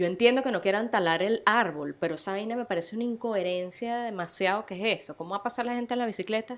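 A woman with a Venezuelan accent speaks at a very fast pace with hardly any pauses, her pitch fairly high and its variation ordinary. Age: 40s. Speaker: podcast co-host. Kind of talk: casual chat.

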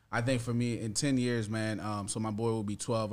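Audible room echo hangs around this man's voice. His intonation holds fairly even. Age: 30s. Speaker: father. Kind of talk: casual chat.

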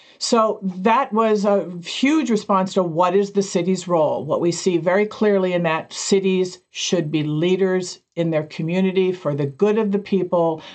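A woman's normal speaking voice at a moderate pace, with very even loudness, ordinary pitch variation and hardly any pauses. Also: medium pitch for a woman. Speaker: podcast co-host, city innovation officer. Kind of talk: casual chat.

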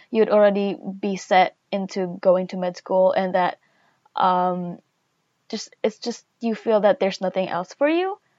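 A woman speaks at a fairly slow pace in a plain, everyday voice with ordinary pitch variation. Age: 20s. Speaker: podcast intern, undergraduate. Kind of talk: casual chat.

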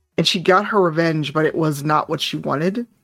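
A woman with an American accent speaks at a moderate pace in a very deep, low pitch, with ordinary pitch variation and music in the background. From Chicago, US Midwest. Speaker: tabletop game player and streamer. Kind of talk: casual chat.

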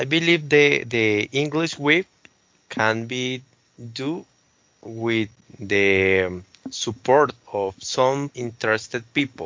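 Delivered very slowly with long, frequent pauses, the speech carries a Spanish accent and ordinary pitch variation. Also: man, medium pitch for a man. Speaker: podcast host. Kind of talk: casual chat. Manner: halting.

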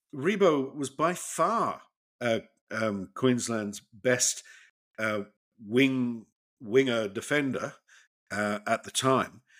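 A man with an Australian accent speaks at a very slow pace, with long, frequent pauses and a medium pitch that varies in an ordinary way. The recording is very clean, with a silent background. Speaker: podcast co-host. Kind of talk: casual chat, retrospective game commentary. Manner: chatty, hesitant, laughing, informal.

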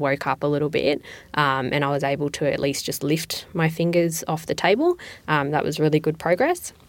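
A woman with an Australian accent, her pitch very deep and low, at a fairly quick pace in a very clean recording with a silent background. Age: 20s. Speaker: patient. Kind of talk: personal testimony. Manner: hesitant with fillers.

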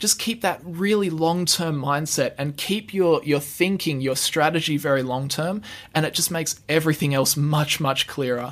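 Barely pausing, a man with an Australian accent speaks at a moderate pace, his pitch fairly high with ordinary variation. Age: 20s. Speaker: finance YouTuber. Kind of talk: casual interview.

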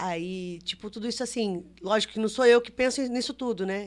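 A woman speaks in a normal speaking voice at a moderate pace. Her pitch is fairly high, with ordinary pitch variation. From Brazil, São Paulo, grew up touring. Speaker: circus director. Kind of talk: podcast interview.

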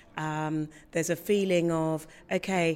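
This woman's voice sits at a fairly low pitch. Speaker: opera singer. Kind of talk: interview. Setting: theatre foyer. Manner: clear, passionate.

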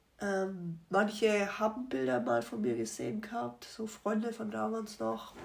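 There is audible room echo and noticeable background noise as a woman speaks at medium pitch. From Germany, Rothenburg. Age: 20s. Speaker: accident survivor. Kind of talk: testimony. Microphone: poor sound.

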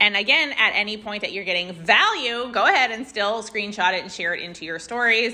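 A woman speaks in an animated tone at a fairly quick pace, her fairly high pitch showing ordinary variation. Noticeable background noise runs behind her. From Canada. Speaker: podcast host. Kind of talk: casual interview; podcast intro and outro monologue.

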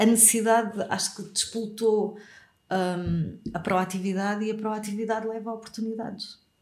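Monotone, flat delivery at a moderate pace with audible room echo. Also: woman, fairly high pitch for a woman. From Portugal, Algarve. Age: 40s. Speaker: radio host and communication coach. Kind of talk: interview.

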